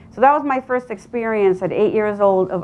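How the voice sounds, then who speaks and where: With a Spanish accent, a woman speaks using lively intonation. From Colombia, Medellin. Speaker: real estate agent. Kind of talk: motivational talk.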